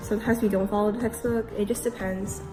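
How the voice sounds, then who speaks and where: Over music in the background, a woman speaks very fast in a medium pitch with monotone, flat intonation. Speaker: English teacher in Korea. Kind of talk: casual vlog talk to camera.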